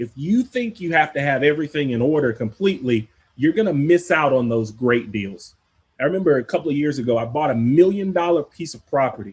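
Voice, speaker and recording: A man's voice comes across somewhat breathy, with intonation that moves in a lively way. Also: fairly high pitch for a man, fairly quick pace. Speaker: podcast host, real estate investor. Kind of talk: instructional podcast monologue. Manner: casual, conversational.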